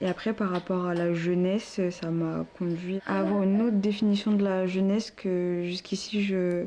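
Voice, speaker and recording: Against noticeable background noise, a woman at a medium pitch speaks at a moderate pace with monotone, flat intonation, very even loudness and hardly any pauses. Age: 20s. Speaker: student and young mother. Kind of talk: interview testimony. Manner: hesitant, many fillers.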